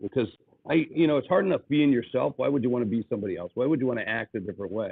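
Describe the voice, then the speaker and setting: Ordinary pitch variation from a man in an American accent. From US Midwest, South Dakota. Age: 60s. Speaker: business speaker and author. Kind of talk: podcast interview. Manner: animated.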